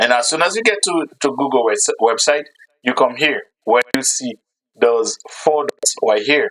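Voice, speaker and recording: Captured with a dry, close sound and no echo, a man speaks at a fairly slow pace. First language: not English. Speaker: YouTube creator. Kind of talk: tutorial. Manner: halting.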